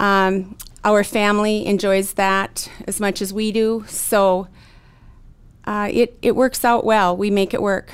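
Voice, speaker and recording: The delivery is very slow. Its intonation stays monotone and flat. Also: woman, medium pitch for a woman. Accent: Upper Midwest. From North Dakota, Williston. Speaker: real estate broker and rancher. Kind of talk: interview.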